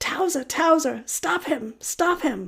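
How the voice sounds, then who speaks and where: A female-sounding voice pitched high for a woman takes on a put-on character voice. The pace is fairly slow. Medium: read story.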